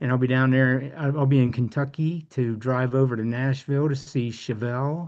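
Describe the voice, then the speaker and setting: A man with an unremarkable speaking voice, medium pitch, moderate pace, fairly even intonation and hardly any pauses. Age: 60s. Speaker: support group member sharing testimony. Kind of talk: casual group chat.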